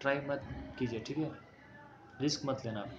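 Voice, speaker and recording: Over noticeable background noise, a man with a non-native accent speaks at a fairly high pitch. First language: not Hindi (speaking Hindi). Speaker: exam coaching teacher. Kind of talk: tutorial. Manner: mixes Hindi with English, halting Hindi.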